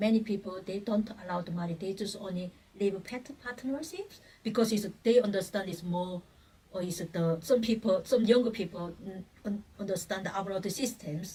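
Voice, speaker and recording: A woman with a Korean accent, medium in pitch, at a moderate pace. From North Korea. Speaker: human rights activist, North Korean defector. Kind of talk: interview answer.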